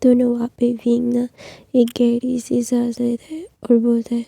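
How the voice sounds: Speaking at a fairly slow pace, a woman has a fairly high pitch with a dark, mellow tone, vocal fry and monotone, flat intonation, in a dry, close sound with no echo.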